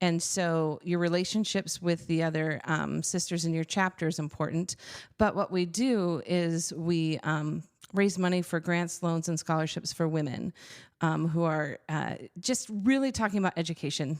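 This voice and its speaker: With very even loudness and normal pitch movement, an unremarkable speaking voice proceeds at a medium speed. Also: woman, fairly low pitch for a woman. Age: 50s. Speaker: church executive director, former music teacher. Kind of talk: podcast interview.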